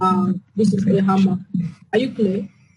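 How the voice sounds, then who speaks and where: Somewhat breathy and dark, mellow in tone, this woman's voice sits at medium pitch. She talks at a fairly slow pace. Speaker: forex trading teacher. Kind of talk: online class Q&A. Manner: soft-spoken.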